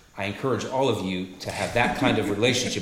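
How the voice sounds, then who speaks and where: A man speaks at a very fast pace. Noticeable background noise runs under his voice. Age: 40s. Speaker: podcast co-host. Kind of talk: casual chat.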